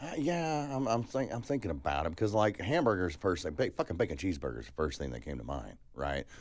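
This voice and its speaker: Against a quiet background, a man with an American accent speaks at a very fast pace with a very deep, low pitch, vocal fry and very wide pitch swings. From California and Alabama. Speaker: podcast co-host. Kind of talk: casual chat.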